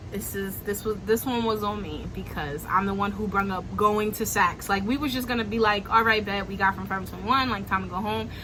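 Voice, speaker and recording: Music plays in the background as a woman with a Brooklyn accent talks at a fairly quick pace and a medium pitch. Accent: Brooklyn New York. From Brooklyn, New York. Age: young. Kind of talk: casual storytime talk to camera. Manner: animated, slangy, upbeat.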